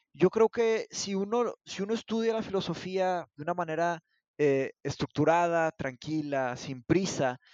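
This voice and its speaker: A man with a high-pitched voice talks at a fairly slow pace, his intonation lively. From northern Mexico, Monterrey. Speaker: philosophy teacher. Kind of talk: casual discussion. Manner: halting, many repetitions.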